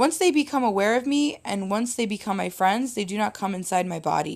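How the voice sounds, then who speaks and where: In a put-on character voice, a woman speaks fairly quickly with a raspy, medium-pitched sound and lively intonation, recorded very cleanly against a silent background. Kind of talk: audiobook narration. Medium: read story. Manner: plain, earnest, explanatory.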